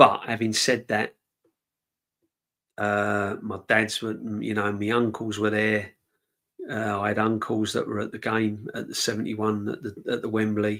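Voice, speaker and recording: Taking long, frequent pauses, a man speaks at a moderate pace with a fairly low pitch, a bright, sharp tone and monotone, flat intonation. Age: 50s. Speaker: football fan channel host. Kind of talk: casual live-stream chat. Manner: conversational, rambling.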